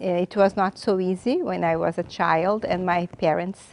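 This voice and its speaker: At a fairly slow pace, a woman with a Brazilian Portuguese accent speaks at a medium pitch in a dry, close sound with no echo. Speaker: graduate student, English teacher. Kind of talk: interview testimony. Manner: halting.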